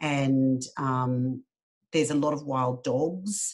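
Fairly even intonation in an Australian accent. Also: woman. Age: 50s. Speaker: charity worker. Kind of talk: casual chat.

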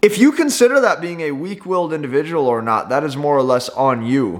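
At a moderate pace, a man talks in a plain, everyday voice pitched fairly high, with lively intonation. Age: 20s. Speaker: entrepreneur and YouTuber. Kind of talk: motivational talk to camera.

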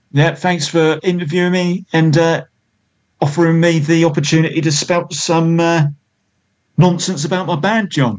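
A man with a British accent talks in a high voice with fairly even intonation. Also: moderate pace. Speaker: musician in a band. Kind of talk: casual interview chat.

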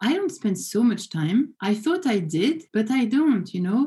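In a French accent, a woman talks at a moderate pace with lively intonation and a fairly high pitch. Her tone is dark and mellow and somewhat breathy. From France. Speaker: business professor. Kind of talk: interview. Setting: video call.

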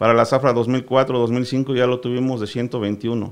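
A man at a very slow pace. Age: 40s. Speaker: sugar cane grower. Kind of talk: radio interview.

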